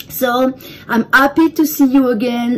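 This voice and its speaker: Against noticeable background noise, the talking proceeds at a very slow pace. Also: woman. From France. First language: French. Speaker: home cook video creator. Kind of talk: tutorial. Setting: home kitchen. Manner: halting.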